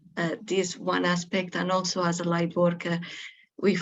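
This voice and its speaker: A woman with a Spanish accent speaks at a fairly low pitch. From Spain. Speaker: webinar participant. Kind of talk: group introduction in webinar. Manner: hesitant, many fillers.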